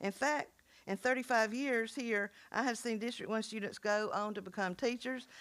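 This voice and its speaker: A woman with a South Carolina accent, a fairly high pitch and a moderate pace, on a very clean recording with a silent background. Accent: Southern US (South Carolina). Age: 70s. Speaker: school board member, retired teacher. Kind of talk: farewell speech at board meeting. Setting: public board meeting.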